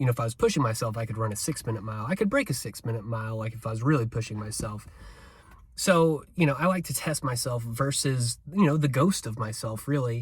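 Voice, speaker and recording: A man talks at a very fast pace with a medium pitch. His voice is somewhat breathy, with ordinary pitch variation. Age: 40s. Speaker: amateur runner vlogger. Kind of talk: casual vlog monologue. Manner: casual, many fillers.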